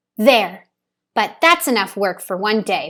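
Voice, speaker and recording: Over a very clean recording with a silent background, a woman uses a put-on character voice at a fairly high pitch, speaking fairly slowly with very wide pitch swings. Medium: read story. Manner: gentle, warm.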